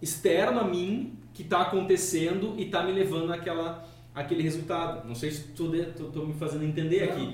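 Speech at a moderate pace comes with audible room echo and noticeable background noise. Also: man. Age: 30s. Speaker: podcast host. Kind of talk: casual chat.

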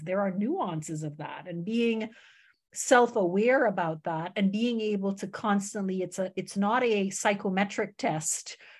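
There is a quiet background as a somewhat breathy woman talks with ordinary pitch variation. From Canada. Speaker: startup founder. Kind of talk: interview. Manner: very awake.

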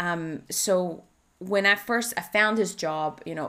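A woman with a Spanish accent at a very slow pace, ordinary pitch variation, and a very clean recording with a silent background. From Spain. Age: 30s. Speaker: life coach. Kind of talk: solo podcast monologue. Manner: halting.

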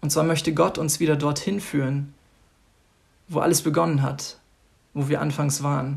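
A man's fairly high, somewhat breathy voice moves at a moderate pace with long, frequent pauses. His intonation is monotone and flat. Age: 20s. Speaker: church member giving devotional. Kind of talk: devotional talk.

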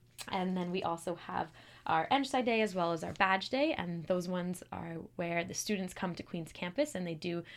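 Recorded very cleanly over a silent background, a woman with a Western Canadian accent speaks at a moderate pace, her pitch fairly low with ordinary variation. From Calgary, Alberta, Canada. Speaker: engineering student, club president. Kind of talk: casual interview.

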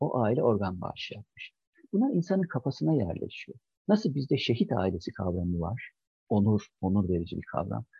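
A somewhat breathy man's voice, medium in pitch, with very wide pitch swings and a moderate pace. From Çankırı, central Turkey. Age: 50s. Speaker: general surgery professor. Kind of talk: interview.

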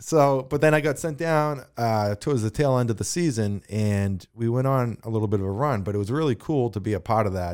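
Over a very clean recording with a silent background, a man with an ordinary speaking voice and medium pitch talks at a fairly quick pace with lively intonation. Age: 40s. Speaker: former pro hockey player. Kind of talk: interview.

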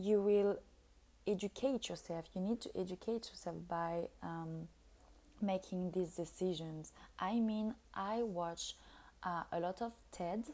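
A woman with a French accent speaks fairly slowly in a dark, mellow tone at a medium pitch with ordinary pitch variation. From France. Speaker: podcast host. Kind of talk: solo monologue podcast. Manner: halting, with many fillers.

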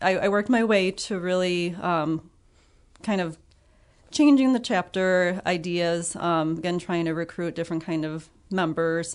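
In a Midwestern American accent, a woman with a fairly low pitch talks at a fairly slow pace with long, frequent pauses and ordinary pitch variation against a quiet background. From Illinois (Ottawa). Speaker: biology teacher and birder. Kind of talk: interview.

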